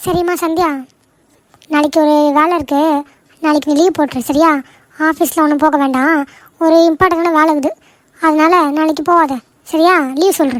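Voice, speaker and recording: A female-sounding, cartoonish character voice with an extremely high pitch moves at a moderate pace. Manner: bossy, commanding.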